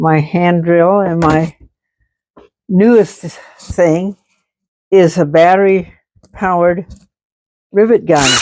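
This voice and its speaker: At a very slow pace, a woman with a fairly low pitch speaks with fairly even intonation. She leaves long, frequent pauses. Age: 90s. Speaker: yard art crafter. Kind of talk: casual tour talk to camera.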